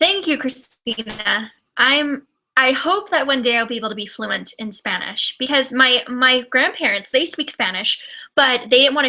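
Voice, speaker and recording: Raising and projecting her voice, a woman with a Californian accent speaks at a fairly quick pace, her tone bright and sharp and her pitch high. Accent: flat, bright Californian. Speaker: YouTuber. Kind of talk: casual livestream chat. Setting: livestream video. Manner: fast; trips on words.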